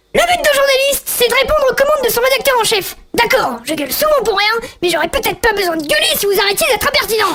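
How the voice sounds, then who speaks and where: Shouting loudly and very fast, a speaker performs a put-on character voice at an extremely high pitch. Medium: audio drama. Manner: loud, shouting, crude.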